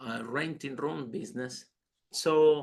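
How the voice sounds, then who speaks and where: Speaking at a very slow pace, a man uses a fairly high pitch and a bright, sharp tone. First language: not English. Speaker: entrepreneur and speaker. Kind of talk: podcast interview. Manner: halting.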